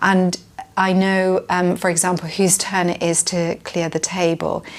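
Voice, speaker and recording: A woman's medium-pitched voice, fairly slow, with very even loudness and monotone, flat intonation. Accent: British. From UK. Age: 50s. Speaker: parent interviewee. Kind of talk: interview answer. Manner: hesitant, many fillers.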